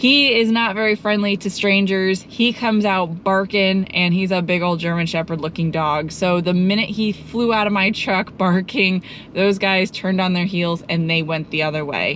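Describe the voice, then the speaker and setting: A woman's voice at a moderate pace, hardly any pauses, ordinary pitch variation, very even loudness, and a dry sound with no echo over light background noise. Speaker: travel vlogger. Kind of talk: casual vlog chat. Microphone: phone near.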